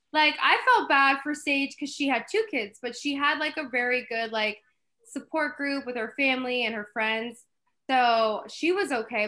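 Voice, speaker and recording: Her voice is raised and projected, with a bright, sharp tone and a high pitch. The woman speaks at a moderate pace. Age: 20s. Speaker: novelist. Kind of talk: casual chat. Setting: video call.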